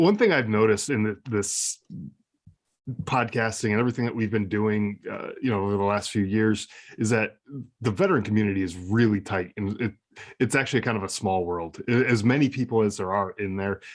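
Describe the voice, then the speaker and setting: In a very clean recording with a silent background, a man with an American accent speaks fairly quickly in a fairly low pitch, his intonation fairly even. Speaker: war veteran and podcast host. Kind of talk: interview.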